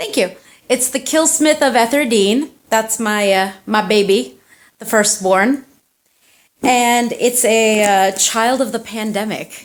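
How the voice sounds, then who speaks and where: Speaking at a very slow pace with long, frequent pauses, a woman with an American accent keeps a fairly high pitch, ordinary pitch variation and very even loudness. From United States (Turkish family). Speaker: indie fantasy author and tattoo artist. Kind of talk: casual interview. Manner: casual, chatty.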